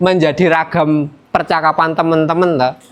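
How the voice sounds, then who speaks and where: A man with a Javanese accent at a fairly slow pace. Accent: Javanese-accented Indonesian. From Yogyakarta, Indonesia. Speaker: student teacher. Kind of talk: classroom lesson. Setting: classroom. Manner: casual, conversational.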